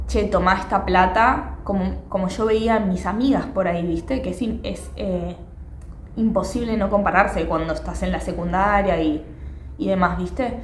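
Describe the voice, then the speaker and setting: In a Rioplatense accent, a woman speaks amid noticeable background noise and audible room echo. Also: moderate pace. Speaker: podcaster. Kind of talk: casual monologue. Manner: conversational with fillers.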